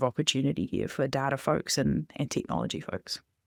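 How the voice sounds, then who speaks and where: A woman with a New Zealand accent at a fairly quick pace, on a very clean recording with a silent background and a dry, close sound with no echo. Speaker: data and analytics director. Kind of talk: podcast interview.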